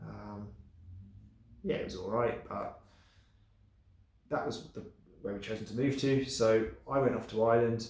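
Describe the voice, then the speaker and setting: A somewhat breathy man at a moderate pace and medium pitch, with ordinary pitch variation and audible room echo. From England. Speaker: vlogger. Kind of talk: casual vlog monologue. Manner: hesitant, many fillers.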